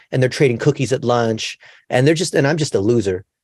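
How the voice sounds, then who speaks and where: A man with a medium-pitched voice, ordinary pitch variation and an ordinary speaking voice. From California, US. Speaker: digital marketing expert. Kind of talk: interview.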